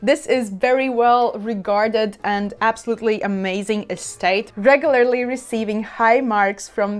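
Using fairly even intonation, a woman talks at a fairly slow pace. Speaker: wine reviewer. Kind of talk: casual tasting commentary. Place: home room. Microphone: lapel.

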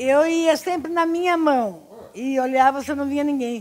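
A high-pitched woman at a moderate pace over a quiet background. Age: 80s+. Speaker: retiree. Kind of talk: interview answer. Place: home room. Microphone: handheld.

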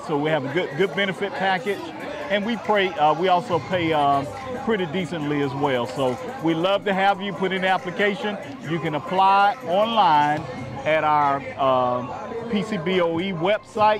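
Crowd noise fills the background of this dry recording with no echo, and the speech moves at a moderate pace. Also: man, high pitch for a man. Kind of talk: interview answer. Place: street. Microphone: lapel.

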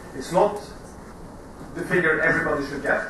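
With light background noise and strong room echo, a man speaks fairly quickly. His intonation stays fairly even. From Norway. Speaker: marine insurance executive. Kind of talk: conference debate presentation. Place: hall. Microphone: camera far.

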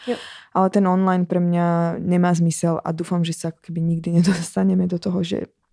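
On a very clean recording with a silent background, a woman speaks at a fairly quick pace in a dark, mellow tone, her fairly low pitch flat and monotone. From Slovakia. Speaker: singer and dancer. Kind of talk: interview.

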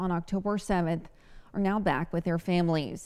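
Over a quiet background, a woman speaks at a moderate pace with fairly even intonation. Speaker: TV news anchor. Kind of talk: crisp news reading, measured anchor delivery. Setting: TV studio. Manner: brisk, even-paced newsreader cadence; light and laughing in banter. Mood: serious, measured. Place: studio. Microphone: lapel.

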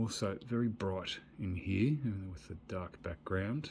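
Light background noise runs under this recording. A man speaks at a fairly low pitch. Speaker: toy collector reviewer. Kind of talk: casual toy review commentary. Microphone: phone near.

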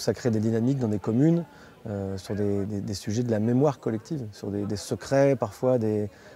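A man's voice sits at a medium pitch, with ordinary variation. He keeps a fairly quick pace. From city-raised France. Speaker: community association organizer. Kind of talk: interview. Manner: halting.

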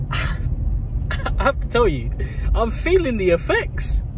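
The man's voice sounds dry, with no echo. Noticeable background noise runs underneath. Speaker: vlogger. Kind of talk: casual vlog chat. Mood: amazed, a bit nervous. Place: car.

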